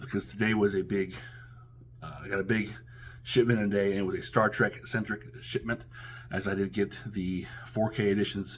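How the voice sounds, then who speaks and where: A man's fairly low-pitched voice with vocal fry, ordinary pitch variation, a moderate pace, and long, frequent pauses. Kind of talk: casual talk to camera, product unboxing review. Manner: hesitant, many filler words.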